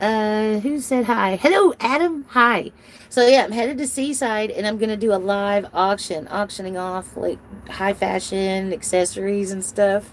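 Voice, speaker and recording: A woman speaks at a medium pitch and a moderate pace, with ordinary pitch variation. Noticeable background noise is present. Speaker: live-streamer. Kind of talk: casual live-stream chat. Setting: live stream. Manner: animated.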